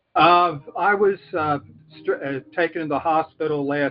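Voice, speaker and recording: Set against noticeable background noise, a man speaks with a fairly high pitch. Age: 70s. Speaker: caller. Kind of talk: call-in question.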